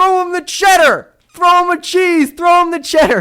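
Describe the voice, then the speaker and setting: Someone performs a put-on character voice at an extremely high pitch. The pace is moderate. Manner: shouting, urgent, commanding.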